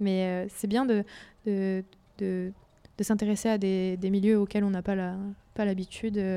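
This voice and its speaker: With long, frequent pauses and a fairly slow pace, a woman of medium pitch speaks in a monotone, flat intonation with a dark, mellow tone. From Nancy, eastern France. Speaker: university student. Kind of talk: radio interview.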